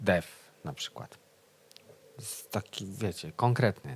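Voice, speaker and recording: A man is speaking. He has a Polish accent. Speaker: folk band musician, show co-host. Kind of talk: casual chat. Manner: halting.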